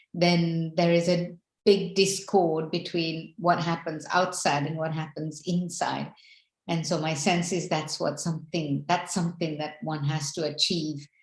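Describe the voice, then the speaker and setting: A somewhat breathy woman, fairly low-pitched, at a fairly slow pace in a monotone, flat intonation. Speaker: spiritual teacher. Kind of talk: spiritual talk.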